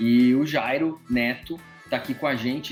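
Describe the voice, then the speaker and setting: With music behind him, a man talks fairly slowly in a medium pitch. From interior of São Paulo state. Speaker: podcast host. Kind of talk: casual chat. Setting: remote recording.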